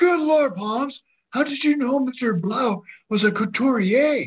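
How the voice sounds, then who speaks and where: A man uses a put-on character voice at an extremely high pitch and a fairly slow pace. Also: ordinary pitch variation. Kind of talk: spoof radio mystery.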